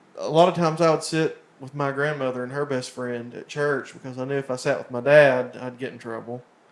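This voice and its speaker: A man talks at a fairly quick pace with an Appalachian accent. His loudness swings widely, and there are hardly any pauses. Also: fairly high pitch for a man. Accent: Appalachian Southern US. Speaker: country music singer. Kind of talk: casual chat. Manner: halting.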